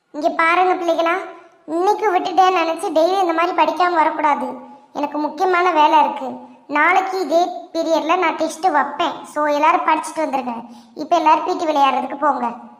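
A woman uses a cartoonish character voice at an extremely high pitch. Her intonation stays fairly even. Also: moderate pace. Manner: scolding, authoritative.

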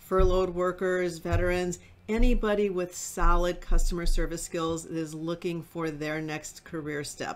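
A woman with a fairly low pitch talks at a moderate pace with hardly any pauses, fairly even intonation and big swings in loudness. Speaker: home watch trainer. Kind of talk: webinar presentation. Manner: casual, chatty. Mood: warm, upbeat. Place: home room.

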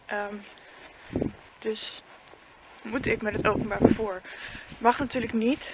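Against noticeable background noise, a woman speaks at a very slow pace in a fairly high pitch, with fairly even intonation and long, frequent pauses. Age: 20s. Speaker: vlogger. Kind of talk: casual vlog monologue. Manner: halting.

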